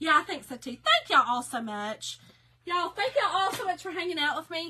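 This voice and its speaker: A woman's raised, projected voice in a Southern US accent, extremely high in pitch, bright and sharp in tone, with very wide pitch swings, big swings in loudness and a fairly quick pace. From Kentucky. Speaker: craft live-stream host. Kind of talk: live stream craft tutorial. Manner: casual, chatty.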